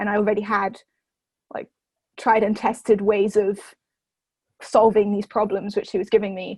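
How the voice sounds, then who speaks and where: Her loudness swinging widely, a woman speaks at a moderate pace with a medium pitch, monotone, flat intonation, and long, frequent pauses. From southern England (Oxford), moved from France at about nine. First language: French. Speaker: university student. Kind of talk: interview. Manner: hesitant, many fillers and restarts.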